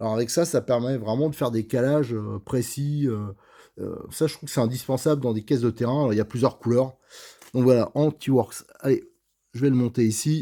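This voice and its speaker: In a very clean recording with a silent background, a man with a dark, mellow tone and medium pitch speaks fairly quickly with fairly even intonation. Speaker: RC model car hobbyist video host. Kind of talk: tutorial. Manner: hesitant, many filler sounds; stammers at times.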